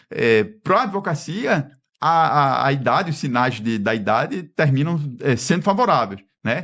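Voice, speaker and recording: The pitch swings very widely while loudness stays very even, at a fairly slow pace against a quiet background. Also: man, fairly high pitch for a man. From Pernambuco, Brazil. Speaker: federal judge. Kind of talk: podcast interview.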